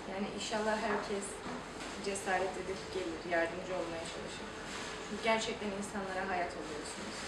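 A woman speaks at a moderate pace while loud background noise plays. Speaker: liver donor. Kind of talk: interview answer. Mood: calm, encouraging.

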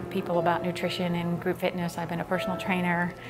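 Here is a woman with an American accent. Clear music plays in the background. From Virginia, USA. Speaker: personal trainer and fitness instructor. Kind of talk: testimonial interview. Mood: calm, reflective, occasionally smiling.

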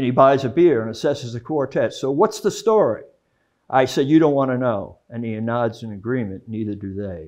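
Over a quiet background, a man speaks at a fairly quick pace with lively intonation. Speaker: poet. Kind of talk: poetry reading. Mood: wry, storytelling tone.

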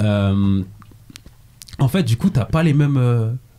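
The pitch of this man's voice sits in the medium range. It varies in an ordinary way. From Paris region, southern suburbs (Seine-et-Marne). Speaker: podcast host. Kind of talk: casual chat. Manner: animated.

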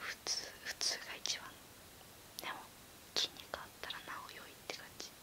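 Whispering, the woman keeps to a fairly slow pace. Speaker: beauty and otaku YouTuber. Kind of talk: whispered ASMR chat answering questions. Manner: casual, relaxed.

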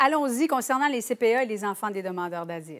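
A woman speaks at a moderate pace with a high pitch and lively intonation against a quiet background. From Quebec. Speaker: TV news host moderating panel. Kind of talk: TV panel discussion. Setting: TV studio. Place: studio. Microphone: lapel.

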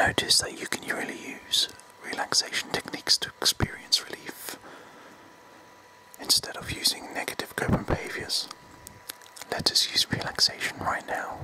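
The speaker whispers at a moderate pace. Long, frequent pauses break up the words. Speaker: guided relaxation narrator. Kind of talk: guided meditation script, slow and soft. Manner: soft, hushed close-mic voice. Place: home room. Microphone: phone near.

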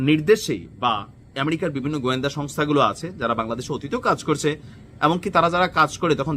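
Fairly high in pitch, a man speaks with a bright, sharp tone. His pitch variation is ordinary. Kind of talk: news commentary monologue.

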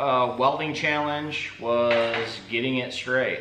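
A man's speech carries audible room echo. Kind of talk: casual vlog chat. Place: workshop. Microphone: camera far.

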